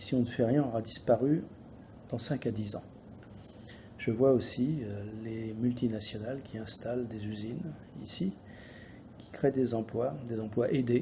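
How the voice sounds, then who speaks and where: Dark and mellow in tone, a somewhat breathy man speaks with big swings in loudness and long, frequent pauses. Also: medium pitch for a man, ordinary pitch variation, fairly slow pace. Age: 60s. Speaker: business owner. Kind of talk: political statement. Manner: halting.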